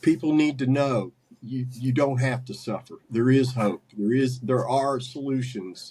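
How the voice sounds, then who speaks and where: A man with an American accent speaks at a fairly slow pace and medium pitch. His is an ordinary speaking voice, with fairly even intonation. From US South, West Virginia (Huntington). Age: 60s. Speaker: carnivore diet coach and medium. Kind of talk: podcast interview.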